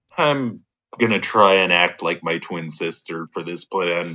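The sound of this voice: A man's put-on character voice, very deep and low in pitch, at a fairly slow pace with ordinary pitch variation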